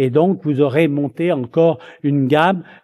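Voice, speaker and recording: The man has a dark, mellow tone. He speaks at a fairly slow pace. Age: 70s. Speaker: retired eye surgeon. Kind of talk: lecture. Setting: conference hall with audience. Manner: hesitant, repeating words.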